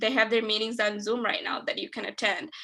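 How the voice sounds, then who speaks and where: A woman with a non-native accent speaks at a fairly high pitch with fairly even intonation over noticeable background noise. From Detroit, Michigan. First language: not English. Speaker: nonprofit executive director. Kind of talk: webinar presentation and Q&A.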